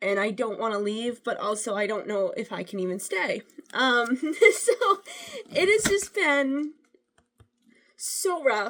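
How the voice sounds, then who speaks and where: A woman puts on a character voice. It comes out raspy. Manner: stressed, distressed.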